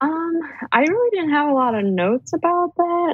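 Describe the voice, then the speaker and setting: A woman with an American accent speaks in very wide pitch swings. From US Midwest, Cleveland Ohio. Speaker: guest and patron. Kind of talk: casual chat.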